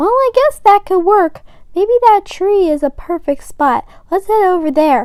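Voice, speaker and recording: A woman puts on a squeaky character voice pitched extremely high. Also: moderate pace. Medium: read story.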